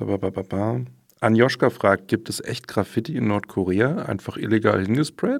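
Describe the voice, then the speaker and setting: A man speaks in a plain, everyday voice at medium pitch, with ordinary pitch variation and a moderate pace. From Berlin. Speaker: trainee journalist. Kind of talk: casual chat.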